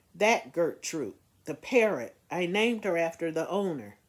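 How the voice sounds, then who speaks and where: In a put-on character voice, someone mumbles at a moderate pace and a middle pitch. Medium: read story. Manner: mumbling, hesitant.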